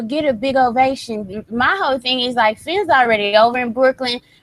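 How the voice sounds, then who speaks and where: A woman speaks with a Southern US accent. Her voice is high and her pace moderate. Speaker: wrestling podcast co-host. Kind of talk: casual chat.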